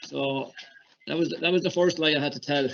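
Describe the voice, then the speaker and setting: A fairly high-pitched man with a Kilkenny Irish accent, fairly even intonation and a fairly quick pace against a quiet background. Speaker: hurling coach. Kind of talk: casual recollection.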